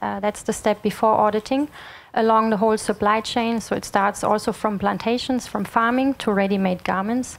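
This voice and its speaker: In an ordinary speaking voice, a woman talks fairly slowly at a fairly high pitch, her intonation fairly even. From Germany. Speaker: sustainability consultant. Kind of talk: lecture. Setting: stage with audience. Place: hall. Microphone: handheld.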